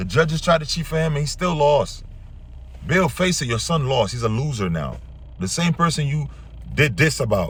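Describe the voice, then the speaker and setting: A man with an American accent speaks in a fairly high, animated voice with lively intonation. He leaves long, frequent pauses, and room echo is audible. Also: moderate pace. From Brooklyn, New York. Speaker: boxing reaction youtuber. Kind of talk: reaction commentary rant. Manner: animated, heated.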